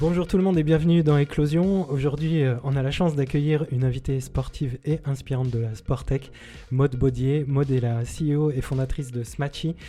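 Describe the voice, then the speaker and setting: A man with a fairly high voice talks at a fairly quick pace and with fairly even intonation, over music in the background. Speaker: podcast host. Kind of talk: interview; podcast intro. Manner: hesitant, many fillers.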